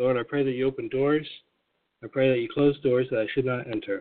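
This man talks at a fairly quick pace with a medium pitch. His intonation stays fairly even. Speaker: daily prayer host and former bookstore owner. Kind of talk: fervent prayer, spoken intimately to God. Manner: earnest, heartfelt, steady devotional delivery.

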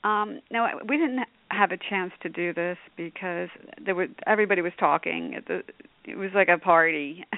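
An unremarkable speaking voice from a woman at medium pitch, with ordinary pitch variation and a moderate pace. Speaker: radio host. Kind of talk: casual interview chat.

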